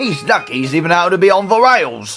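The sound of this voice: A man in a cartoonish character voice speaks at a high pitch and a fairly quick pace, with big pitch swings and a fairly bright tone, while faint music plays in the background.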